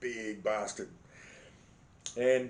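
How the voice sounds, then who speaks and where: A man talks with an Australian accent. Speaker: vlogger. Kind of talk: casual storytelling monologue. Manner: animated.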